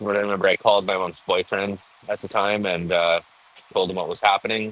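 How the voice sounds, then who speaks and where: The voice belongs to a man. It sits somewhat low. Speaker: cannabis cultivator. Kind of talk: interview answer. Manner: soft-spoken.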